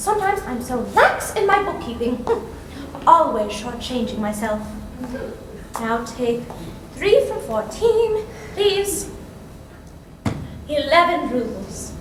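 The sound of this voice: A woman's put-on character voice, high-pitched with big pitch swings, slow pace, long, frequent pauses and audible room echo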